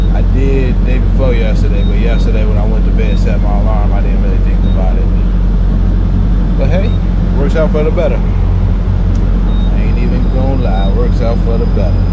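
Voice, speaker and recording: Speech at a moderate speed competes with loud background noise. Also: man. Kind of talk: casual vlog chat. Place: station. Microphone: phone near.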